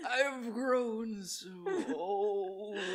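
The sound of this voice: A woman at medium pitch performs a put-on character voice.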